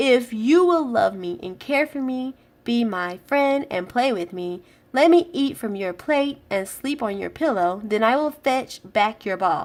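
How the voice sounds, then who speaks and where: Doing a put-on character voice, a woman speaks in a croaky, high pitch at a fairly slow pace. The recording is very clean, with a silent background. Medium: read story.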